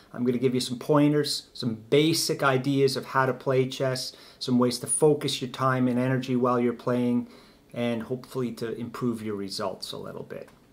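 Monotone and flat in intonation, a man delivers his words at a moderate pace. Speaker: chess teacher. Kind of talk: tutorial. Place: home room. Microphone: camera far.

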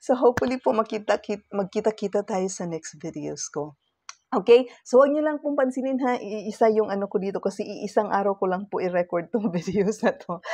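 A woman talks at a fairly quick pace with lively intonation. Her tone is dark and mellow, over a quiet background. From Philippines. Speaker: lifestyle vlogger; self-help vlogger. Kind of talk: casual vlog talk to camera. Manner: halting, many fillers. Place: home room. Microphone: webcam.

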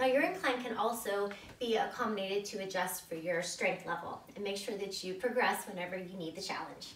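At a fairly quick pace, a woman with a medium pitch speaks amid audible room echo. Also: ordinary pitch variation.

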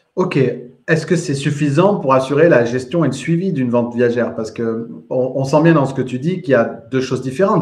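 At a fairly quick pace, a man speaks in a medium pitch. Audible room echo surrounds his voice. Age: 30s. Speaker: podcast host and real estate trainer; podcast host, real estate trainer. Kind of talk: live interview. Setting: live video stream. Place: home room. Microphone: earbuds.

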